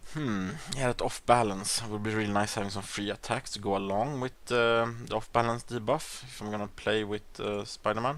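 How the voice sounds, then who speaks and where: With a Swedish accent, a man talks at a fairly quick pace using fairly even intonation. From Sweden. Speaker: gaming YouTuber. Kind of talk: gameplay commentary. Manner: hesitant, many fillers.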